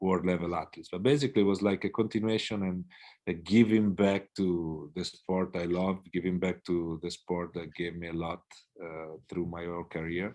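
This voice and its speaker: A man's very deep, low, dark and mellow voice with an Italian accent, moderate pace and fairly even intonation against a quiet background. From Italy. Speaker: swim coach. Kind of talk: interview. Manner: hesitant, many fillers.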